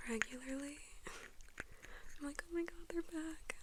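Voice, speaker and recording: Someone soft-spoken talks at a moderate pace. Noticeable background noise runs underneath. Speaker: ASMR creator. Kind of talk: ASMR soft spoken talk.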